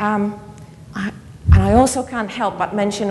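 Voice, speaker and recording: With a Polish accent, a woman speaks at a moderate pace and medium pitch with fairly even intonation, amid noticeable background noise and audible room echo. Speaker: keynote speaker, education academic. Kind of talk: conference keynote lecture. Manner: halting, with repetitions.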